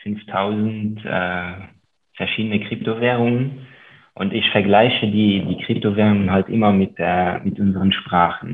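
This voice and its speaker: A man talks fairly slowly in a fairly low voice. His intonation is monotone and flat, with long, frequent pauses. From Luxembourg. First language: Luxembourgish (speaking German). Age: 30s. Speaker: investor and author. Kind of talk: interview.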